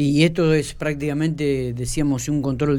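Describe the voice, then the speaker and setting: A man with a Rioplatense accent speaks at a moderate pace in a fairly high pitch, his intonation fairly even. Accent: Argentine Spanish (rioplatense). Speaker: radio host. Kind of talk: radio interview. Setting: radio studio.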